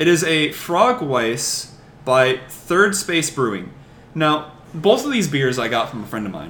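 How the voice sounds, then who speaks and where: A man's fairly high voice with very wide pitch swings, vocal fry and a fairly slow pace. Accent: American. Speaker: podcast guest. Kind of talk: casual chat.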